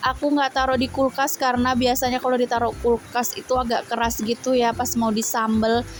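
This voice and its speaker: A woman speaks at a fairly quick pace with hardly any pauses, her high-pitched voice flat and monotone at a very even loudness over noticeable background noise. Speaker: housewife vlogger. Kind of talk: vlog voice-over narration. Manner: casual, chatty.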